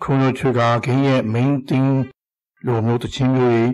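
Monotone, flat intonation marks a man speaking at a medium pitch. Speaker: video game hobbyist. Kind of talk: scripted narration. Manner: formal.

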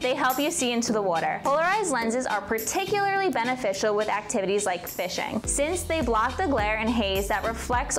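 A woman with a New Jersey accent speaks at a fairly quick pace in a fairly high voice. Her tone is upbeat and playful, with clear music in the background. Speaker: brand video host. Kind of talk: explainer to camera. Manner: upbeat, playful. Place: studio. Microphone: lapel.

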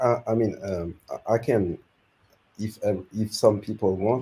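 A man speaks at a fairly slow pace with a fairly low pitch and fairly even intonation. His tone is dark and mellow, and somewhat breathy. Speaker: YouTube growth consultant; guest. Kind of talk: giving advice on a live stream. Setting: video call. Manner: halting. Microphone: video call.

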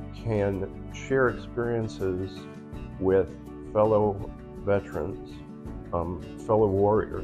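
A man with a fairly low voice and ordinary pitch variation, clear music in the background. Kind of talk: interview answer. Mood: calm, earnest. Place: home room. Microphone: phone near.

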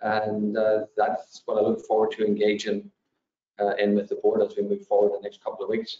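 A man talks at a fairly quick pace with audible room echo around him. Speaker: school superintendent. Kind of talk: budget presentation at public meeting. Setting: video call. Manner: halting. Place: home room. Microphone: video call.

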